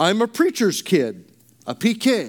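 A man with a Californian accent, very slow pace and lively intonation. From Arizona. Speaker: priest and hospice chaplain. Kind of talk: sermon.

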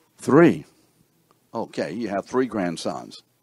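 A man speaks loudly and at a fairly slow pace with vocal fry, an animated tone and very wide pitch swings. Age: 70s. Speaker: pastor. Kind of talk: teaching session.

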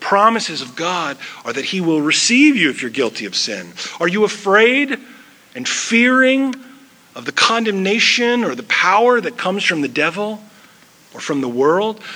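Over noticeable background noise, a raised, projected voice swings very widely in pitch. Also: man. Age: 40s. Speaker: pastor. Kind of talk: sermon.

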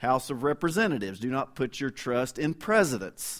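A man with a Kentucky accent talks at a medium pitch. The recording is very clean, the background silent. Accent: Kentucky Southern US. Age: 50s. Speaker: interim pastor and visiting preacher. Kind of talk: sermon. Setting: church.

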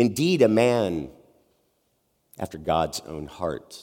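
Medium in pitch, a man speaks at a very slow pace. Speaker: pastor. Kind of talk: sermon. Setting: church.

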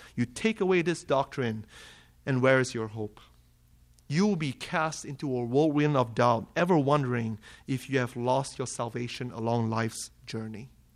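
A man with a Malaysian accent and a medium pitch, on a very clean recording with a silent background. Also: ordinary pitch variation, moderate pace. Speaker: preacher. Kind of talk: sermon.

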